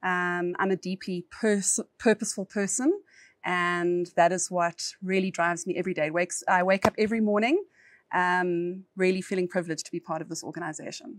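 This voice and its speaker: A woman with a South African accent, medium pitch, fairly even intonation and fairly quick pace, in a very clean recording with a silent background and a dry, close sound with no echo. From South Africa, East Rand (Johannesburg). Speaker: corporate lawyer. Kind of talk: podcast interview.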